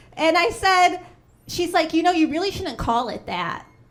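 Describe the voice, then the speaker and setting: With audible room echo, a woman with a Chicago accent speaks at an extremely high pitch and a moderate pace. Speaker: stand-up comedian. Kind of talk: stand-up. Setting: stage with audience.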